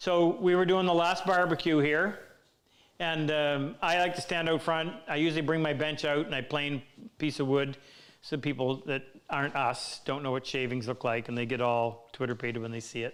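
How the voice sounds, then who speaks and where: Here a man with an ordinary speaking voice talks at a moderate pace and a fairly high pitch. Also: ordinary pitch variation. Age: 60s. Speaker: woodworking teacher. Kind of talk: live Q&A stream. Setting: workshop live stream.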